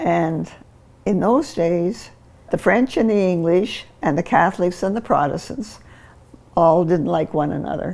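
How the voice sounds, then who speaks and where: Vocal fry marks this woman's fairly low voice, which has ordinary pitch variation. She speaks at a fairly slow pace. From New Brunswick, Canada. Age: 80s+. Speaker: interviewee in a family documentary. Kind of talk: personal testimony.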